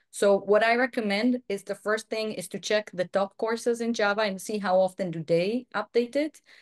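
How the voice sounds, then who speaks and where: This is a woman with an Israeli accent. The recording is dry and close, without any echo. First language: Hebrew. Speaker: software quality director and online course instructor. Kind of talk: webinar Q&A.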